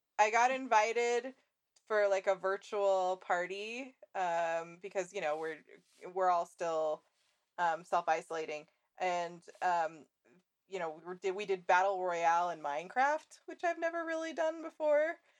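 Using a normal speaking voice, a woman of medium pitch talks at a fairly slow pace with lively intonation. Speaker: podcast host. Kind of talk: casual chat.

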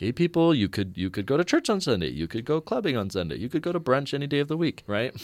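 Speaking at a very fast pace, a man with a medium-pitched voice and vocal fry sends his pitch through very wide swings. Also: hardly any pauses. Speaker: student group leader. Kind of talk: panel interview discussion. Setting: studio.

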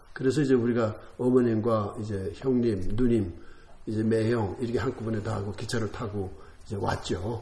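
Amid audible room echo, a man with a dark, mellow, somewhat breathy voice speaks at a fairly low pitch and a fairly quick pace, his intonation fairly even. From North Korea, Hwanghae province (Sariwon). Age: 80s. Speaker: separated-family member, war refugee. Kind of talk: interview.

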